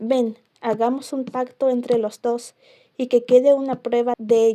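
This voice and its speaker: Soft-spoken and fairly slow, a woman with a high pitch and a dark, mellow tone talks in a monotone, flat intonation. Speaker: ASMR creator. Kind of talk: bible reading.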